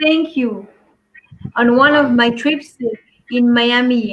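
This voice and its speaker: Speaking in a French accent, this woman has a high voice with ordinary pitch variation. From Belgium, Antwerp. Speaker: life and business coach. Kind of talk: talk show interview.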